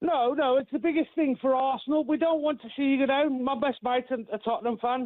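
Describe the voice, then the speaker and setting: In an English Midlands accent, a man talks at a very fast pace with hardly any pauses. His pitch is extremely high, with fairly even intonation and very even loudness. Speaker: caller. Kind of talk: radio phone-in. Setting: phone call. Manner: halting.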